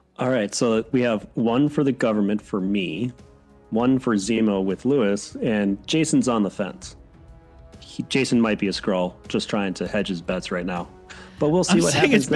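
Over music in the background, a man with an American accent speaks at a moderate pace and medium pitch with lively intonation. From Wisconsin. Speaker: podcast host.

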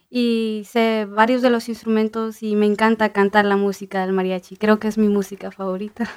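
A woman's fairly high, monotone, flat voice at a moderate pace with hardly any pauses. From northern Indiana, Hammond. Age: young. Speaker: university student and mariachi musician. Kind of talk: radio interview.

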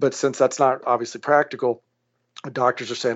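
With an American accent, a man uses a normal speaking voice at medium pitch and a fairly quick pace. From Louisiana, US South. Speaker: plastic surgeon and company founder. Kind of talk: podcast interview.

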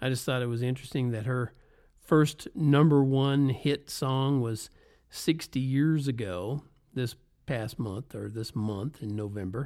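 A man with a slight Southern US accent speaks at a fairly slow pace in a dark, mellow tone. The recording is very clean, with a silent background. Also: medium pitch for a man, ordinary pitch variation. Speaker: podcaster, former road musician. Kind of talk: casual monologue.

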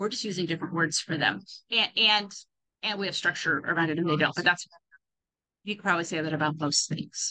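A woman's fairly low, bright, sharp voice at a fairly quick pace, with ordinary pitch variation and long, frequent pauses. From California. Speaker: podcast host, religious educator. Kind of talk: solo podcast talk on religion. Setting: airport, recording on laptop. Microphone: laptop mic, poor sound.

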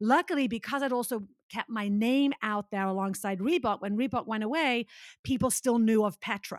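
Heard on a very clean recording with a silent background, the sound is dry and close, with no echo. A woman with a plain, everyday voice speaks at a moderate pace and fairly high pitch, with ordinary pitch variation. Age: 50s. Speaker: fitness instructor and speaker. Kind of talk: casual chat.

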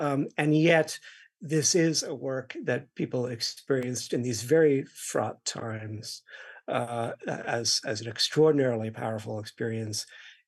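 A man with a plain, everyday voice talks at a fairly slow pace over a quiet background, his medium pitch showing ordinary variation. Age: 50s. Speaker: music critic. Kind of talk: onstage conversation. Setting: stage with audience.

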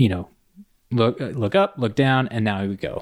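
On a very clean recording with a silent background, a man with an American accent speaks in a normal speaking voice at a moderate pace with fairly even intonation. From Indiana. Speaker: mountain guide. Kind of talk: casual chat.

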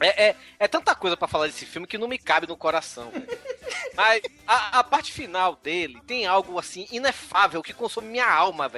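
Raised and projected, a man's high, animated voice moves at a fairly quick pace with lively intonation and big swings in loudness, sounding dry and close with no echo against noticeable background noise. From Brazil, Bahia (Salvador). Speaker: podcaster guest. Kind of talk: casual chat.

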